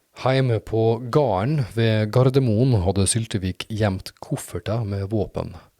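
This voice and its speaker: A man with a dark, mellow tone and medium pitch speaks very slowly, with hardly any pauses and ordinary pitch variation. The recording is very clean and dry, close with no echo, over a silent background. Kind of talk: documentary narration.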